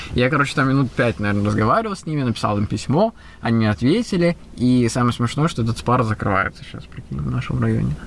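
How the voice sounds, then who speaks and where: With lively intonation and a very fast pace, a man talks amid noticeable background noise. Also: medium pitch for a man. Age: 30s. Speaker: podcast host, illusionist and entrepreneur. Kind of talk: casual chat.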